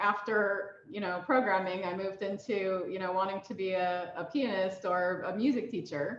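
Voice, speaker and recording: Audible room echo surrounds a woman with an American accent who talks at a moderate pace with ordinary pitch variation. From USA. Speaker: mentor and banking technology professional. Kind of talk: mentoring talk. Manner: hesitant with many fillers.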